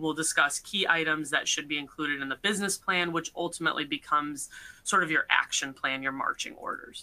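Bright and sharp in tone, a woman speaks at a fairly quick pace with ordinary pitch variation. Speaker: attorney presenter; presenter. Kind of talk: webinar presentation. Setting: online webcast. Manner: formal. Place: home room. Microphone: webcam.

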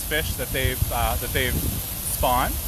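A man is heard over noticeable background noise. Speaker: trout farmer. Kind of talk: casual live video tour. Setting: outdoors on a farm.

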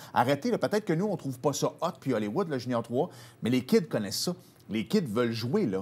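At a fairly quick pace, a man talks with lively intonation and a medium pitch. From Quebec. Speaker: sports TV host. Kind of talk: casual chat. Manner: animated. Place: studio.

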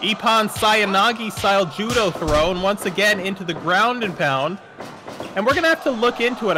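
A man's raised, projected voice at a fairly quick pace, with ordinary pitch variation and music in the background. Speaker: wrestling commentator. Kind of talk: live wrestling commentary. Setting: in the commentary booth.

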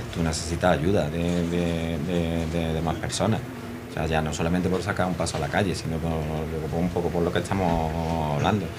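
Over noticeable background noise, a man talks at a moderate pace. His voice is very deep and low, with monotone, flat intonation. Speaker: costalero foreman. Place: bar. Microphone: studio mic.

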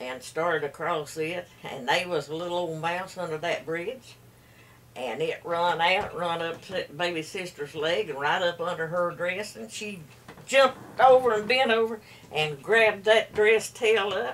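Over light background noise, a woman with an Appalachian accent talks at a fairly slow pace and fairly low pitch, her intonation lively and her loudness swinging widely. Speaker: storyteller. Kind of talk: folk storytelling. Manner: rambling, hesitant. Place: home room. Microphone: camera far.

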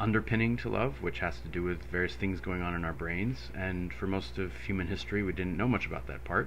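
A man with a very deep, low pitch and vocal fry talks at a fairly quick pace with lively intonation, with light background noise behind him. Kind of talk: lecture. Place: home room. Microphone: studio mic.

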